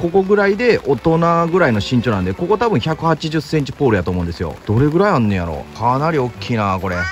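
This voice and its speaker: A man speaks with a dry sound and no echo, faint music playing in the background. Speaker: camping vlogger. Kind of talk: casual vlog chat. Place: tent. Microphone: phone near.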